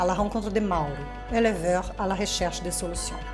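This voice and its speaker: A woman speaks at a moderate pace with a Portuguese accent. Music plays behind her, and the room echo is audible. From Rio de Janeiro, Brazil. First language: Portuguese (speaking French). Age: 40s. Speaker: reporter. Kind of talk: scripted narration.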